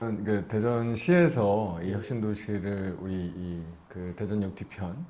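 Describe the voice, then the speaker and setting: A man speaks with a dark, mellow tone and a fairly low pitch. His pace is very slow, and his pitch variation is ordinary. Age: 30s. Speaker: politician, newly elected member of parliament. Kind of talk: interview answer.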